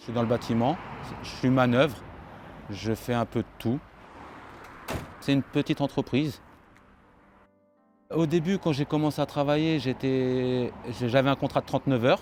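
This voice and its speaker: A man's moderate-paced speech with long, frequent pauses and fairly even intonation, dry and close with no echo, music in the background. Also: medium pitch for a man. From France, Paris suburbs. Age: 30s. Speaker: construction laborer. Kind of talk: interview.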